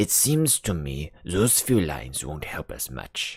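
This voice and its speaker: In a put-on character voice, a man with a very deep, low pitch talks at a fairly slow pace, his pitch swinging very widely. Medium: read story. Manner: blunt, matter-of-fact.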